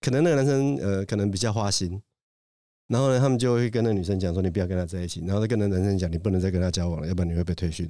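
Speaking at a very fast pace, a man with a very deep, low pitch and a dark, mellow tone uses ordinary pitch variation on a very clean recording with a silent background. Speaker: judge. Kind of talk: casual chat.

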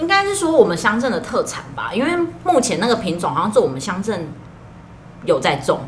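At a fairly quick pace broken by long, frequent pauses, the voice makes very wide pitch swings, with noticeable background noise and audible room echo. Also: woman, fairly high pitch for a woman. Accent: slight Taiwanese. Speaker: farmers' association employee and podcast co-host. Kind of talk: casual chat.

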